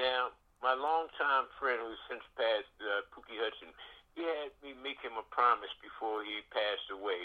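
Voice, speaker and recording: A man with a Philadelphia accent speaks at a medium pitch. He keeps a moderate pace with ordinary pitch variation. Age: 70s. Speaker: radio DJ and military veteran. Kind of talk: casual radio interview. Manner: halting, many fillers.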